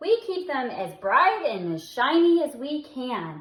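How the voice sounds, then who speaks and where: Here a woman uses a put-on character voice, high-pitched with very wide pitch swings. Her pace is fairly slow. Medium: read story. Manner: kindly, explaining.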